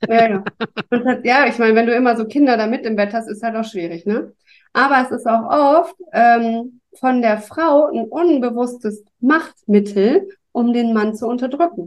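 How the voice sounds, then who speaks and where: A plain, everyday voice from a woman, fairly high in pitch, at a fairly slow pace with ordinary pitch variation. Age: 40s. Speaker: podcast guest. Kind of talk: casual chat.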